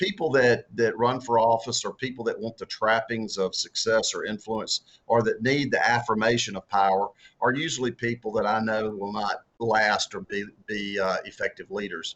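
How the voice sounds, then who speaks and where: A man speaks at a moderate pace with a strong Southern US accent. His pitch variation is ordinary. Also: medium pitch for a man. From US South. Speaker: author and former political candidate. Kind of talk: interview. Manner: halting, many repeated words and fillers.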